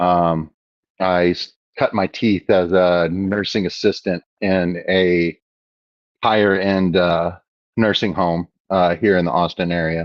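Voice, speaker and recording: A man with an American accent speaks very slowly in a very deep, low voice, with long, frequent pauses, monotone, flat intonation and very even loudness. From Texas (Houston). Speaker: aquarium hobbyist live streamer. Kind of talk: casual live stream chat. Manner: casual, filler-heavy.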